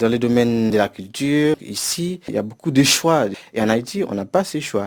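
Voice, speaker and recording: A man talks with a medium pitch. His intonation is lively. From Haiti. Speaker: university professor. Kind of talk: interview. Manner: hesitant with fillers.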